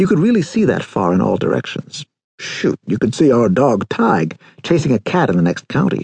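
A man talks at a fairly quick pace with very wide pitch swings and vocal fry, the sound dry and close with no echo. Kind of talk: audiobook narration of a memoir.

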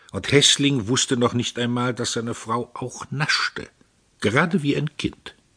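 In a dry, close sound with no echo and a quiet background, a man of medium pitch speaks at a fairly slow pace. His tone is bright, sharp and theatrical, with ordinary pitch variation. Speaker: audiobook narrator. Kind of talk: audiobook narration, dramatic reading of a novel. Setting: studio. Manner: measured, theatrical, ironic and biting storytelling.

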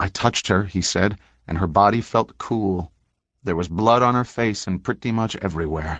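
A man talks in a normal speaking voice with fairly low pitch and lively intonation. His pace is moderate, and the background is quiet. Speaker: audiobook narrator. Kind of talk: audiobook narration of true crime, read aloud from a book. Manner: even, solemn and formal, with a crisp journalistic tone.

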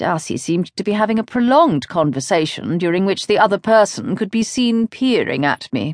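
In a British accent, a woman speaks in a dramatic tone, the sound dry and close with no echo against a quiet background. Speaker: audiobook narrator. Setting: studio.

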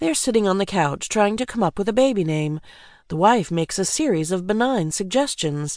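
A woman talks at a moderate pace in a normal speaking voice, with medium pitch and lively intonation. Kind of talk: audiobook narration. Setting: studio. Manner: measured, polished, wry delivery.

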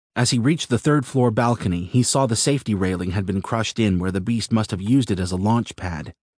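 A man with a fairly low voice speaks very fast in a dramatic tone, with hardly any pauses and ordinary pitch variation. The sound is dry and close with no echo, set against a quiet background. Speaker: audiobook narrator. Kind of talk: scripted narration, action-fantasy audiobook reading. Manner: dramatic, brisk and urgent, building tension in the action scenes.

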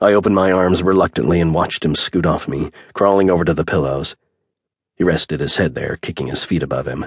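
Very deep and low with vocal fry, a man's voice moves at a fairly quick pace with ordinary pitch variation in a dry, close sound with no echo. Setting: studio recording. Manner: emotionally weighted, brooding delivery of a grieving father.

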